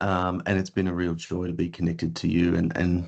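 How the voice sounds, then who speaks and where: Over a quiet background, a man with an Australian accent talks at a fairly quick pace in a very deep, low pitch. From Australia (Melbourne). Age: 50s. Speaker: podcast host. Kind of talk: casual chat.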